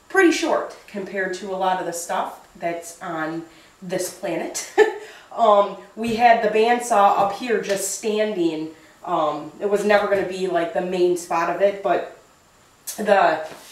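In a room with audible echo, a woman talks at a fairly slow pace with ordinary pitch variation and big swings in loudness. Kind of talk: casual vlog chat. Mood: relaxed, light laughter. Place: workshop. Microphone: camera far.

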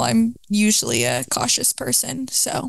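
A woman's pitch swings very widely in a dry recording with no echo. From Atlanta, Georgia (suburbs); Georgia. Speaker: podcast guest, college student; podcast guest. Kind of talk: casual chat. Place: home room. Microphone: handheld.

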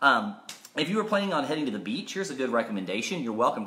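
Pitch varies in an ordinary way as a man talks. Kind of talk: casual school assembly address. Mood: upbeat, joking. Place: home room. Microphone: phone near.

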